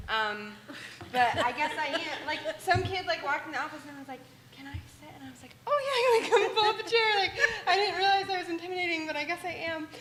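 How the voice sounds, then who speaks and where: A woman talks at a very fast pace in an extremely high pitch with very wide pitch swings and an animated tone. Her loudness swings widely, and audible room echo is present. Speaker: student government leader. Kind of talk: meeting report.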